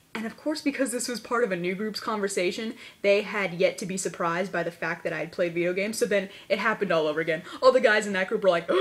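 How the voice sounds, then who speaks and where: A woman at medium pitch, talking at a very fast pace over noticeable background noise. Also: ordinary pitch variation. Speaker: video blogger. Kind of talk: casual vlog. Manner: animated.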